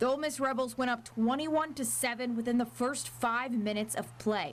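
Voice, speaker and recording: This is an unremarkable speaking voice with an American accent. Pitch varies in an ordinary way at a moderate pace. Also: woman. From US South, Nashville. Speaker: sports reporter. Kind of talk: scripted narration.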